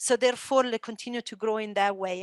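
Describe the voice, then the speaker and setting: A woman with an Italian accent at a fairly quick pace, dry and close with no echo, on a very clean recording with a silent background. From Italy. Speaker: esports entrepreneur and former motocross champion. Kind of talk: panel discussion.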